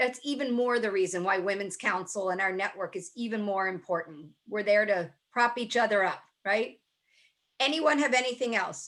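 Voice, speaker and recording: A woman with an American accent speaks at a moderate pace. Her pitch is medium, with ordinary variation. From US, Baltimore, Maryland. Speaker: speaker and network leader. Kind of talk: webinar talk with Q&A. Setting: video call.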